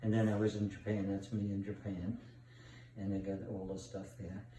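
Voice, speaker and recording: With an American accent and a fairly low pitch, a man talks at a moderate pace over noticeable background noise and audible room echo. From New York. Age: 80s+. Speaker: grandfather. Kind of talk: casual chat. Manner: rambling, halting.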